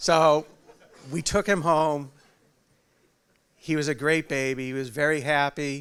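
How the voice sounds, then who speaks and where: The intonation stays fairly even. Long pauses come frequently. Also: man, fairly high pitch for a man, very clean recording, silent background. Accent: strong New England. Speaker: father of the groom. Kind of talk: wedding speech. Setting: wedding reception with audience. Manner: halting.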